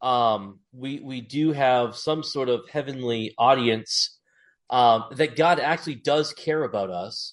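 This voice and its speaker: A man with an American accent speaks in a normal speaking voice at a medium pitch. His pitch varies in an ordinary way against a quiet background. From Massachusetts. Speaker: podcast host and teacher. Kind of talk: casual interview. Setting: video call from classroom.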